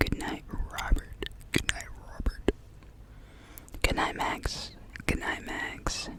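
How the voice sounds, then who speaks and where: A man whispers at a very slow pace, leaving long, frequent pauses. His loudness swings widely, and there is noticeable background noise. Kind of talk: ASMR whispered goodnight list. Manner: whispered.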